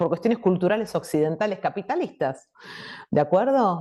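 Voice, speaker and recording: Against a quiet background, a woman with a Buenos Aires accent speaks in a dark, mellow tone with very wide pitch swings. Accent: Buenos Aires Argentine Spanish. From Buenos Aires province, Argentina. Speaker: invited speaker on education and AI. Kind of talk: talk answering audience question.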